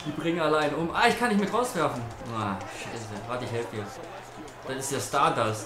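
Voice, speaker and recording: Noticeable background noise fills the long, frequent pauses in the speech. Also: fairly quick pace. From North Rhine-Westphalia, Germany. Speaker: gaming YouTuber. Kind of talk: casual live-stream chat while gaming. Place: home room.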